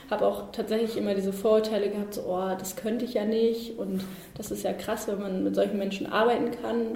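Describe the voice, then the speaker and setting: The recording has noticeable background noise and audible room echo. A woman speaks at a medium pitch and moderate pace, her intonation fairly even. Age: 20s. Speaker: social work student. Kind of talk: interview.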